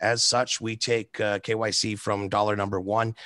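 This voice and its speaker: A man's bright, sharp, medium-pitched voice over a quiet background. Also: dry sound with no echo. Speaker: bitcoin ATM operator. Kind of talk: casual chat. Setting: video call. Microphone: video call.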